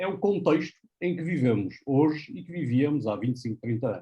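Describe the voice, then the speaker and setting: This man's voice is fairly high in pitch, somewhat breathy and dark and mellow in tone. He talks at a fairly quick pace with lively intonation. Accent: northern Portuguese. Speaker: professor. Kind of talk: panel presentation. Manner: hesitant, with fillers.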